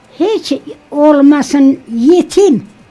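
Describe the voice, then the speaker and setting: Very slow speech from a woman with a high pitch and ordinary pitch variation, with faint music in the background. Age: 80s+. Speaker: interview guest. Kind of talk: interview answer. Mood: earnest, emphatic. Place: studio. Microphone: studio mic.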